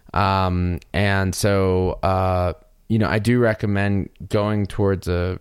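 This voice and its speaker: A man's very deep, low voice with fairly even intonation, in a very clean recording with a silent background. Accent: American. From US South, North Carolina. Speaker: podcast host, audio engineer. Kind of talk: casual chat.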